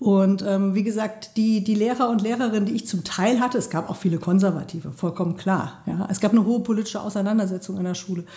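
Talking at a very fast pace, a woman keeps her intonation fairly even. Her pitch moves little. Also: medium pitch for a woman, hardly any pauses. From Germany, Mainz (Rhineland-Palatinate). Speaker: member of parliament. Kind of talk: interview. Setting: sitting across from interviewer in a venue.

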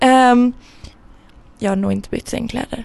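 A woman with a high voice and a dark, mellow tone. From Sweden, Gothenburg. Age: 20s. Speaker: podcast co-host and university student. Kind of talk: casual chat.

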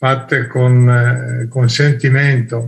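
Somewhat breathy, a man speaks at medium pitch and a very slow pace with fairly even intonation. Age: 70s. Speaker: participant. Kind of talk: casual talk in a group call. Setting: video call.

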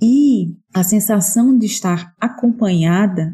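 A woman speaks in a dark, mellow tone with ordinary pitch variation. Her voice is somewhat breathy. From Pernambuco, Brazil (Recife). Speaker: writer, parenting educator. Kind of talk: casual chat.

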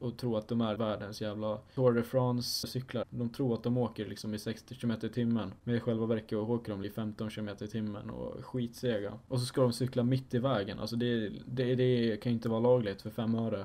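Monotone, flat intonation at a moderate pace. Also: man. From Sweden, Dalarna (Falun). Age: young. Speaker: podcast host, student. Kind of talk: casual solo monologue.

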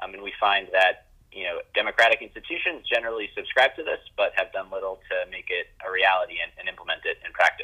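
His speech races along very fast. This man's volume rises and falls in big swings. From New York. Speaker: tech startup founder. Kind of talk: interview. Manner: hesitant, many fillers.

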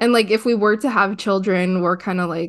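Over a quiet background, a woman talks at a moderate pace with fairly even intonation in a normal speaking voice. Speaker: podcast co-host. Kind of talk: casual chat.

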